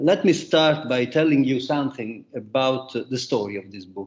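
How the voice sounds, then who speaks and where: A man's medium-pitched voice with an Italian accent. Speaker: economics professor and book author. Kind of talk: academic roundtable talk. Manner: halting, many fillers.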